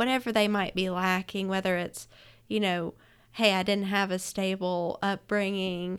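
A woman with an Alabama accent speaks at a medium pitch and moderate pace. Her intonation is monotone and flat, on a very clean recording with a silent background. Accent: Southern US (Alabama). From Alabama, US South (Florence). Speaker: restaurant franchise owner. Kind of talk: casual interview chat. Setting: studio.

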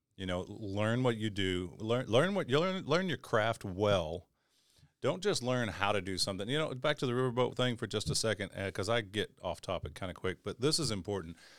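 On a very clean recording with a silent background, a man with an Arkansas accent talks at a fairly quick pace in a medium pitch with lively intonation. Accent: Southern US (Arkansas). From Northeast Arkansas, US South. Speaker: crane operator. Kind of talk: casual chat.

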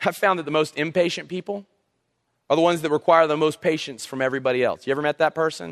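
A man's fairly high voice shows ordinary variation in pitch. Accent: Southern US. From South Carolina coast. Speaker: youth pastor. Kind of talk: sermon. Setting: church. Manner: casual, halting with fillers.

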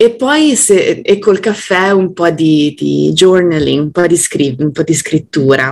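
A woman's fairly low voice at a very slow pace. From Italy, Genoa. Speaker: communication trainer. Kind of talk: casual interview chat.

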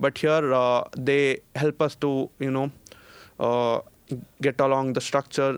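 Speaking fairly slowly with an Indian accent, a man holds a monotone, flat intonation in a dry, close sound with no echo. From India, Bangalore. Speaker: master's student. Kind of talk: casual interview chat. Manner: halting, many fillers and repeats.

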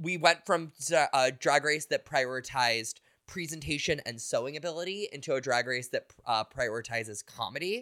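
A man speaks at a moderate pace, his pitch fairly high with ordinary variation and his tone bright and sharp. The sound is dry and close with no echo, on a very clean recording over a silent background. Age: 30s. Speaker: podcast co-host. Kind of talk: casual chat.

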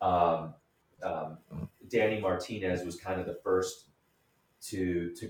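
A man with an American accent speaks slowly in a very deep, low, somewhat breathy voice, his pace fairly slow and his intonation fairly even. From Michigan, Detroit area. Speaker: real estate developer. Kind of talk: interview.

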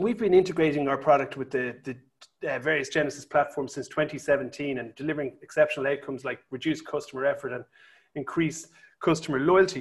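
Fairly high-pitched and somewhat breathy, a man speaks at a fairly quick pace in an enthusiastic tone with ordinary pitch variation. The recording is very clean, with a silent background. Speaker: tech company founder. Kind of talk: interview.

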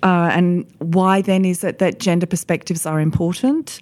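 This woman talks with an Australian accent in a fairly low pitch. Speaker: economist, managing partner. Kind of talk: roundtable discussion. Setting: office recording, around a table.

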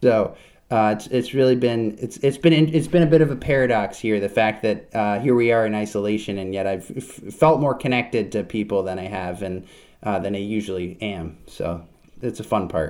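On a very clean recording with a silent background, a man with an American accent and fairly low pitch speaks at a moderate pace with ordinary pitch variation. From US Northeast, Vermont. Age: 20s. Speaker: violin maker. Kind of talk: interview. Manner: halting, many fillers.

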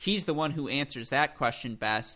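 His voice is fairly high and his pace fairly quick. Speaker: tennis journalist. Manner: fast talker; animated.

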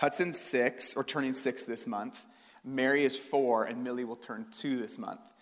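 This man speaks with a Western Canadian accent. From Canada, British Columbia (Port Coquitlam). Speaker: pastor. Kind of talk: sermon. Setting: church stage with audience. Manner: casual, conversational.

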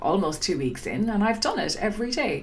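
A woman with an Irish accent, medium in pitch and moderate in pace, with very wide pitch swings and noticeable background noise. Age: 40s. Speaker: podcast host. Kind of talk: solo podcast monologue.

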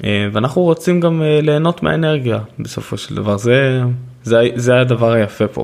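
Noticeable background noise sits behind a man's medium-pitched voice. He speaks at a fairly slow pace with lively intonation. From Israel, Haifa. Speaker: podcast host and author. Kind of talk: solo podcast monologue.

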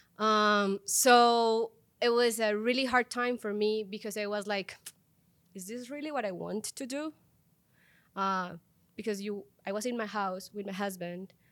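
A woman's fairly high voice in a Spanish accent, at a fairly slow pace with long, frequent pauses and fairly even intonation, on a very clean recording with a silent background. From Colombia. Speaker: tech product leader. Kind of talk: interview.

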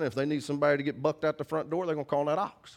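Here a man talks with an American accent. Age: 40s. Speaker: pastor. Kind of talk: sermon. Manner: animated.

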